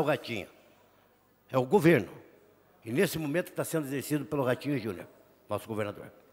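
A man speaks very fast at a fairly high pitch. Lively intonation runs through his speech. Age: 50s. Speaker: state legislator, government leader. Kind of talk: parliamentary speech. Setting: legislative plenary chamber. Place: hall. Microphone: podium.

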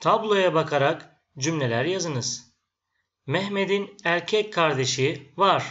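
Speaking very slowly, a man with a high pitch shows ordinary pitch variation. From Turkey. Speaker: Turkish language teacher. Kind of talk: language lesson.

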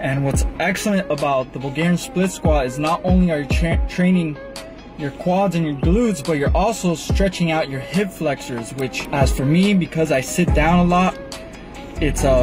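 Clear music plays in the background. A man talks at a moderate pace with ordinary pitch variation. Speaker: fitness vlogger. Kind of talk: casual vlog chat. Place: car. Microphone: phone near.

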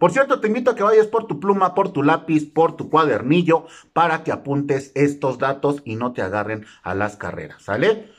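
Against a quiet background, a man with a fairly high pitch and vocal fry talks in an animated tone at a moderate pace, his pitch swinging very widely with hardly any pauses. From Mexico. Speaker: YouTuber explaining government benefits. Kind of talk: informational vlog; casual informative vlog talk. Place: home room. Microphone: phone near.

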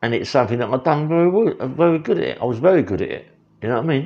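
Against a quiet background, a man talks very fast with vocal fry. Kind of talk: casual vlog chat. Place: kitchen. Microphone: phone near.

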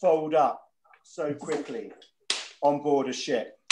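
Light background noise accompanies speech delivered at a very slow pace. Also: man. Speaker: guest. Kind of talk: interview answer. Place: home room. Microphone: video call.

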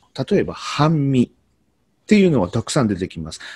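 A man's pitch swings very widely in a dry recording with no echo. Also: quiet background. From Kyoto, Japan; Japan. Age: 40s. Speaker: Noh performer and teacher; teacher. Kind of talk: explanatory talk to camera; lecture. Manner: halting, many fillers. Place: home room. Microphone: webcam.

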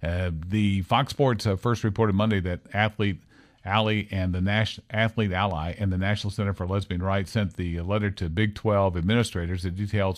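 A plain, everyday voice moves at a fairly quick pace with fairly even intonation over a quiet background. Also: man. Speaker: radio talk show host. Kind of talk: casual talk radio discussion. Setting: radio studio, also filmed. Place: studio.

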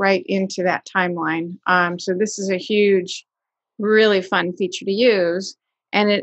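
A woman speaks at a fairly slow pace in a monotone, flat intonation. The sound is dry with no echo, and the background is quiet. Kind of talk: interview answer. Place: home room. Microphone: video call.

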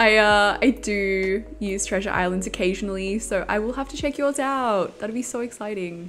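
In an Australian accent, a woman at a medium pitch talks with hardly any pauses over light background noise. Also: ordinary pitch variation, moderate pace. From Australia, Melbourne. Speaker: game streamer. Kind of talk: casual chat. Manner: casual, hesitant with fillers. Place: home room. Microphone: headset.

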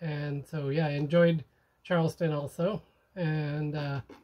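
A man speaks with fairly even intonation. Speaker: sailor vlogger. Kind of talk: casual vlog chat. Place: boat. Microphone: phone near.

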